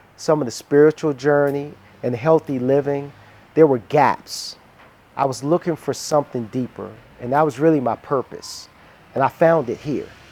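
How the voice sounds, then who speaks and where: With an American accent, a man talks in an unremarkable speaking voice at a fairly high pitch, moderate pace and fairly even intonation. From US, Washington DC. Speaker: relocated entrepreneur. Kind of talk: casual interview and home tour. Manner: relaxed, frequent fillers.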